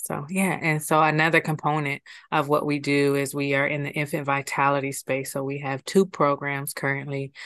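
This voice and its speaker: Over a quiet background, a woman speaks in a very deep, low pitch with monotone, flat intonation. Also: moderate pace. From Ohio, US Midwest (Columbus). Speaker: nonprofit executive director. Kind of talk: casual interview chat. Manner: calm, inviting tone.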